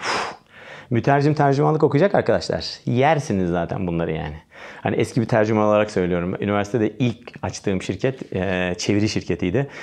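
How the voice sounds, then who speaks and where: Over a quiet background, a man speaks at a moderate pace in an animated tone, his pitch swinging very widely. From Turkey. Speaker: English exam teacher. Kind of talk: tutorial. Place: studio.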